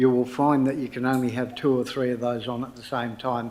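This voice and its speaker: A man with an Australian accent, his voice carrying audible room echo. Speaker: council meeting chair. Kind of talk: formal meeting procedure. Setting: council chamber, live streamed. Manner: loud.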